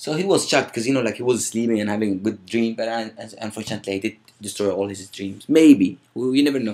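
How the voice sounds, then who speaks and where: A man with an Arabic accent and a dark, mellow tone, at a very fast pace with ordinary pitch variation. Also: medium pitch for a man. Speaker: vlogger. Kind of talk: storytelling. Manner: casual.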